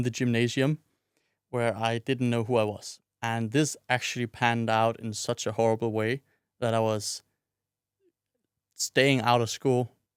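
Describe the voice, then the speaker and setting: Dry and close with no echo on a very clean recording with a silent background, a man speaks at a medium pitch and moderate pace in a monotone, flat intonation with long, frequent pauses. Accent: Danish. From Denmark, Odense. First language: Danish. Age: 20s. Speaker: podcast host. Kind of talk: personal monologue.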